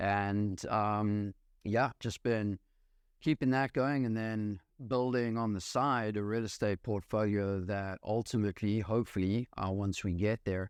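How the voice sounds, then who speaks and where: Here a man speaks with a South African accent, fairly low in pitch, at a moderate pace with ordinary pitch variation. The sound is dry and close with no echo, over a quiet background. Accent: South African accent, still noticeable. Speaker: real estate investor. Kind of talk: podcast interview. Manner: many fillers and hesitations.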